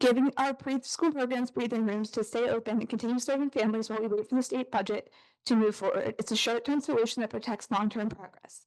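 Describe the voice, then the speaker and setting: Over a quiet background, a woman with an American accent rushes at a very fast pace with hardly any pauses, her fairly high voice shaky with a nervous tone and fairly even intonation. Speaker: parent giving public comment. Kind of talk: prepared public comment. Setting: school board meeting with audience. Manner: shaky, nervous delivery.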